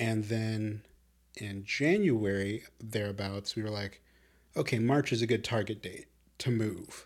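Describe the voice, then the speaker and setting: On a very clean recording with a silent background, a man with a plain, everyday voice and an American accent talks at a fairly low pitch, fairly slow pace, and fairly even intonation. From Chicago. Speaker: podcast co-host. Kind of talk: casual chat. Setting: video podcast recording.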